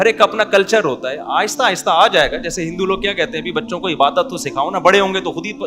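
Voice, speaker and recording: This man's voice is high for a man and raised to project. His intonation is lively, with music playing in the background. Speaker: Islamic scholar. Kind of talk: religious sermon.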